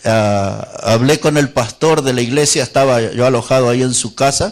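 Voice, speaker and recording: He has an unremarkable speaking voice at a medium pitch for a man. The pace is fairly slow, with ordinary pitch variation. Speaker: Baptist preacher / pastor. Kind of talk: sermon preached to a congregation.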